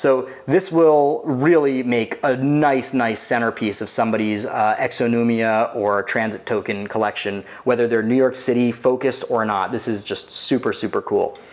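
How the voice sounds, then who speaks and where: Delivered at a moderate pace in an upbeat tone with hardly any pauses, the speech sits over noticeable background noise. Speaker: coin collector, YouTube host. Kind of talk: casual talk to camera.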